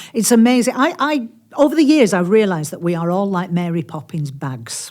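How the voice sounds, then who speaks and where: In a Yorkshire accent, a woman speaks at a medium pitch and a fairly quick pace. Her pitch swings very widely. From Yorkshire, Barnsley area. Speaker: author. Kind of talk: podcast interview. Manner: animated.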